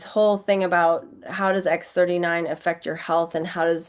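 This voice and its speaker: Fairly even intonation over a quiet background. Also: woman. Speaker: naturopath and product educator. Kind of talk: educational slideshow presentation. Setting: screen-share video. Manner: fast.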